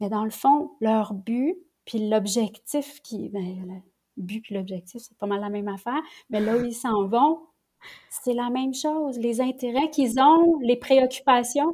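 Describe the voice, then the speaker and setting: A woman with a Quebec accent speaks at a very slow pace in a high pitch, with ordinary pitch variation. Her tone is dark and mellow, and her loudness swings widely. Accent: Québécois French. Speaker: lawyer and family mediator. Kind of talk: casual interview conversation. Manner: halting, repeats words.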